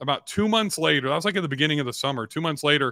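With an American accent, a man talks with ordinary pitch variation. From Southern California. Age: 50s. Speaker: real estate investor and entrepreneur. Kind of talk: casual interview.

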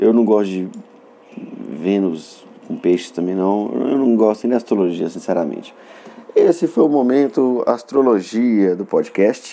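Despite noticeable background noise, a man's lively intonation comes through at a fairly slow pace. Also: medium pitch for a man. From northern Minas Gerais, Brazil (Montes Claros). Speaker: comedian and podcast host. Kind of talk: comedic solo monologue. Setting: solo recording in Belo Horizonte.

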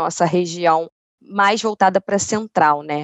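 Her fairly low voice is an unremarkable speaking voice, and the woman moves at a moderate pace with fairly even intonation. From Niterói, Rio de Janeiro state, Brazil. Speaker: insurance company channel manager. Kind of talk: casual interview conversation.

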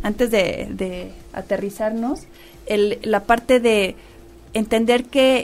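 Music plays behind a woman whose fairly high voice keeps a fairly even intonation. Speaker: radio host. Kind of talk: radio talk show interview.

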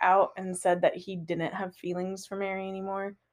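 A woman with a plain, everyday voice speaks at a moderate pace. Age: 20s. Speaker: podcast co-host. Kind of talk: casual chat.

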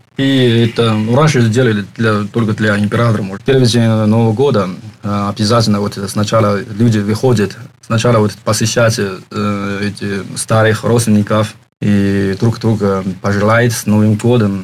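In a Chinese accent, a man speaks at a moderate pace with a fairly low pitch and monotone, flat intonation. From China, Shanghai. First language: Chinese (speaking Russian). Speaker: foreign university student. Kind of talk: interview. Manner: halting, many fillers.

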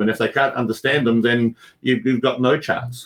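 A man speaks in an Australian accent at a medium pitch. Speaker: speaking coach and magician. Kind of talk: interview.

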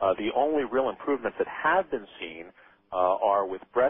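With a plain, everyday voice, this man keeps a moderate pace and ordinary pitch variation. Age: 40s. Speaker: anti-aging physician. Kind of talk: radio interview.

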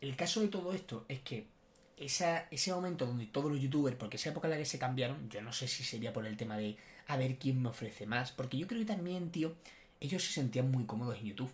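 Speech comes out at a very fast pace. There is a somewhat breathy quality to it. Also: man, medium pitch for a man, lively intonation. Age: 20s. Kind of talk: casual chat. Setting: studio, sitting side by side.

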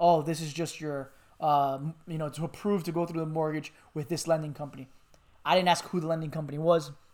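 A man's fairly high voice with an American accent, fairly quick and monotone with flat intonation, on a very clean recording against a silent background. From Miami, Florida. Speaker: podcast co-host. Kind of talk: casual chat.

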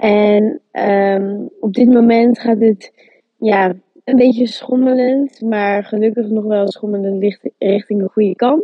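Very slow speech from a woman at a fairly high pitch, with fairly even intonation. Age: 20s. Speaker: student, volunteer. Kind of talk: casual interview.

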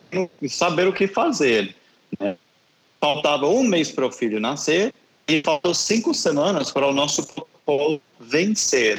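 Over a dry, close sound with no echo, a man with an American accent talks at a fairly slow pace with very wide pitch swings. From US South, Tennessee. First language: English (speaking Portuguese). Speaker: missionary. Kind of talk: interview.

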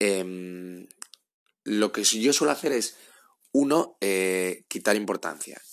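A man with a fairly low pitch speaks with long, frequent pauses on a very clean recording with a silent background. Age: 30s. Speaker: podcast host. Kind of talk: advice monologue. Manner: halting, with frequent repetitions.

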